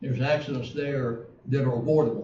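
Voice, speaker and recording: The speaker has an Alabama accent and fairly even intonation, and there is audible room echo. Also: man. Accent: US Southern (Alabama). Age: 70s. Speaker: city council member. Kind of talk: council meeting debate.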